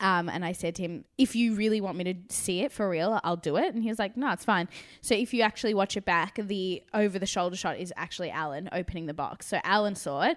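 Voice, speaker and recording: The recording is very clean, with a silent background. A woman speaks fairly quickly at medium pitch with ordinary pitch variation. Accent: Australian. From South Africa. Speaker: actress. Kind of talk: casual interview. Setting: studio in a spare room.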